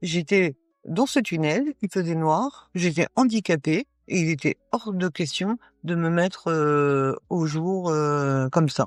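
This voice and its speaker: Over music in the background, a woman with a fairly low pitch speaks at a very slow pace with lively intonation, the sound dry and close with no echo. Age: 60s. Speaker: paralympic athlete. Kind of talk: interview. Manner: halting, many hesitations.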